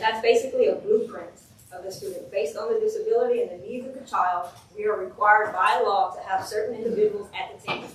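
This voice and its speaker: A woman talks at a very fast pace with big swings in loudness. Noticeable background noise and audible room echo fill the recording. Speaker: special education administrator. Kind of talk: training presentation. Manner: passionate.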